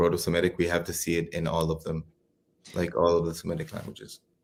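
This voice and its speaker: In a very clean recording with a silent background, a man with a very deep, low pitch speaks with an Israeli accent. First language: Hebrew. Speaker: PhD student. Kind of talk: interview. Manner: halting.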